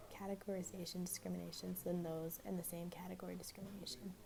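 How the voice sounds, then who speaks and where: A woman speaks quietly. Her pace is very fast. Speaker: student. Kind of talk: class assignment review. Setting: library.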